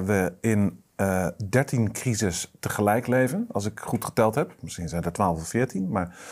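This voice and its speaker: Against a quiet background, a man with fairly low pitch speaks at a very slow pace. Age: 40s. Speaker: strategic adviser, political movement board member; guest. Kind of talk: political discussion interview. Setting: studio, at a table. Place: studio. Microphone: lapel.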